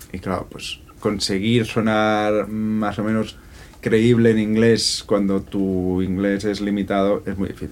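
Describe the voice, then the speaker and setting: A man talks at a very slow pace with a fairly low pitch. His intonation is monotone and flat. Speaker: singer and producer. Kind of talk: interview.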